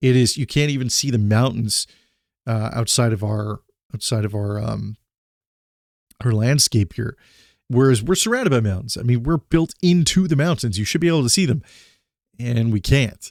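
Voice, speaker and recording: A man speaks at a moderate pace with long, frequent pauses, his medium pitch showing ordinary variation, in a dry, close sound with no echo on a very clean recording with a silent background. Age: 40s. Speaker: former paramedic and vlogger on PTSD. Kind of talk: personal vlog monologue. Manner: halting, with repeated words.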